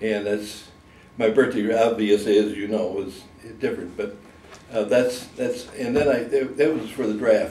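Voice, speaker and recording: A medium-pitched male voice with noticeable background noise and audible room echo. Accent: American. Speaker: war veteran. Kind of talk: oral history interview.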